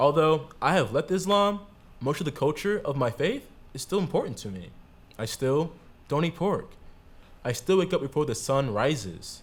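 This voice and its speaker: A man with an American accent speaks at a moderate pace and fairly high pitch, with vocal fry. His pitch swings very widely. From Florida. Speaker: theatre performer. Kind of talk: theatre monologue.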